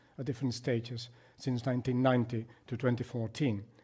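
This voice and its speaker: A man with a Spanish accent speaks at a fairly quick pace in a dark, mellow, somewhat breathy tone. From Spain. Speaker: psychiatrist. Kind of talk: lecture.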